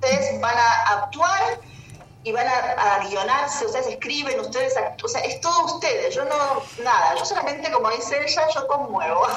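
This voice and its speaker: Speaking at a moderate pace in a Rioplatense accent, a woman is heard with audible room echo and noticeable background noise. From Buenos Aires, Argentina. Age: 50s. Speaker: artist and transpersonal therapist. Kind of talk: interview. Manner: halting, many fillers and repetitions.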